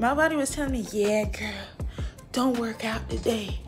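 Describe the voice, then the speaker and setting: At a moderate pace, a woman talks while clear music sounds in the background. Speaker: fitness vlogger. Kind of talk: casual vlog chat. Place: home room. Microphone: camera far.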